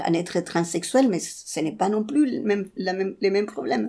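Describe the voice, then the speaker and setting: A woman with a Chilean accent and a dark, mellow tone, on a very clean recording with a silent background. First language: Spanish (speaking French). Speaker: interviewee sharing personal story. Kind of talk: personal testimony interview. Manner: halting, with many repetitions.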